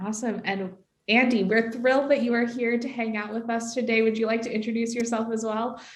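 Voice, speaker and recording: A woman's fairly high voice with an American accent, fairly quick in pace, with audible room echo. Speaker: customer success staff, webinar host. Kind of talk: webinar presentation. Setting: online webinar. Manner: upbeat, enthusiastic.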